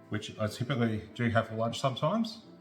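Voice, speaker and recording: With music playing in the background, a man speaks in an Australian accent at medium pitch and a fairly quick pace. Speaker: home cook. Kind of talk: casual cooking tutorial to camera. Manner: casual, chatty.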